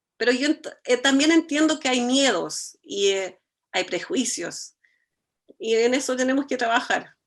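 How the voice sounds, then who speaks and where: The recording is very clean, with a silent background. A woman speaks fairly slowly in a high pitch, her intonation lively. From Germany. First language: German (speaking Spanish). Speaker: architect, cultural foundation director. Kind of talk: conversation.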